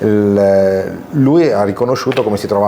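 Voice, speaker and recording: A man with a fairly low voice keeps his intonation fairly even while noticeable background noise carries on. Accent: Italian. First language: Italian. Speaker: interviewer. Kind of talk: interview. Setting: comics convention.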